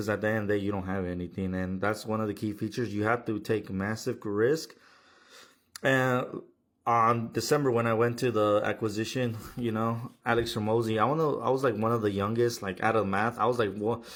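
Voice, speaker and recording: In a very clean recording with a silent background, a man uses an ordinary speaking voice at a fairly quick pace with fairly even intonation. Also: medium pitch for a man. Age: 20s. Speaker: plumbing business owner. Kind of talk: casual monologue. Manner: casual, profane.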